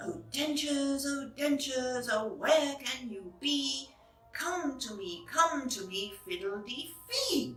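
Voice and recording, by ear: Delivered at a slow pace with lively intonation, the put-on character voice carries audible room echo over faint music in the background. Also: woman, high pitch for a woman, fairly bright tone.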